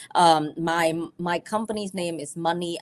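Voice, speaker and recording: A woman's fairly low-pitched voice moves along at a moderate pace. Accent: Vietnamese. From Vietnam. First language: Vietnamese. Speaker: financial advisor. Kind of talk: educational presentation. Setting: livestream video call. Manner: conversational, teacher-like.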